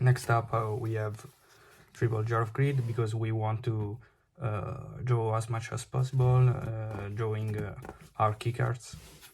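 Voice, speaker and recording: A man with an Italian accent speaks at a medium pitch in a somewhat breathy voice with monotone, flat intonation. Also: fairly slow pace. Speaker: card game player. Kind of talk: unscripted deck profile tutorial. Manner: halting, many fillers.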